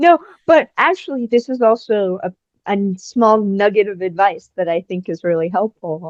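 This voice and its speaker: In a normal speaking voice, a woman talks at a moderate pace with medium pitch and lively intonation, the sound dry and close with no echo. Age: 20s. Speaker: stuntwoman. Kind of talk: casual chat. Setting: podcast interview.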